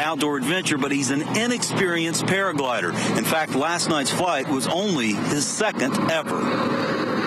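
Loud background noise surrounds a dry sound with no echo. A man with a fairly high pitch talks at a moderate pace with lively intonation. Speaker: television field reporter. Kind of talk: live TV news report from location. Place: open country. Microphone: handheld.

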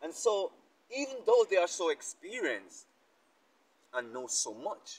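A man is speaking. His pace is fairly slow. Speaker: speaker. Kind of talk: sermon-like reflective talk. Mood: earnest, contemplative. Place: garden. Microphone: lapel.

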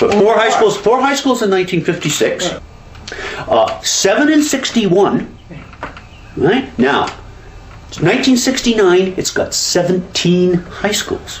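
A high-pitched man speaks at a very slow pace with long, frequent pauses. Audible room echo and light background noise surround him. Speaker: education historian. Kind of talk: interview. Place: home room.

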